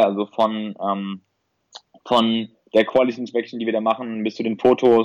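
Recorded dry and close with no echo, a man speaks at a medium pitch with fairly even intonation. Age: 20s. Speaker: e-commerce entrepreneur and medical student. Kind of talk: casual interview. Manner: halting, many fillers.

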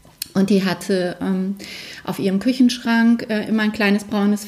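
At a moderate pace, a woman speaks in a medium-pitched voice with monotone, flat intonation. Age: 40s. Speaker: alternative medicine practitioner. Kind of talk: interview.

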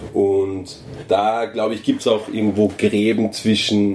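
A man with an Austrian accent talks at a fairly slow pace and a fairly low pitch. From Upper Austria, near Salzburg border. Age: 20s. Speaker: journalist. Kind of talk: casual chat. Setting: indoors at a venue.

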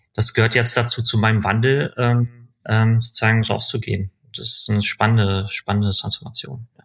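In a dry, close sound with no echo, a man with a normal speaking voice talks at a moderate pace, with medium pitch and fairly even intonation. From Berlin, Germany. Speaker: digital media executive. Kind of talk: interview conversation.

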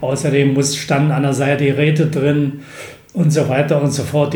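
A man with a fairly high pitch talks at a fairly slow pace. The recording has audible room echo and noticeable background noise. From eastern Germany, Bernau near Berlin. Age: 70s. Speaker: retired teacher and basketball club founder. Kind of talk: interview. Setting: in person.

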